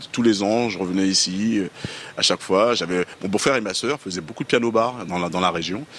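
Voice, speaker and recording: A man speaks with a fairly low pitch and ordinary pitch variation. He has a normal speaking voice. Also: moderate pace. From Paris region, Guadeloupean family. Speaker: musician. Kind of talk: interview.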